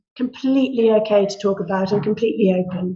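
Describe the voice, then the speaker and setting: A woman's voice comes through somewhat breathy. She talks fairly quickly. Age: 60s. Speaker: women's health product ambassador. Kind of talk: interview.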